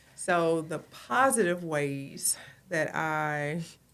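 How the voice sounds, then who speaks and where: Her pitch very deep and low, a woman speaks with fairly even intonation. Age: 40s. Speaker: guest, host's mother. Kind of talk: casual chat.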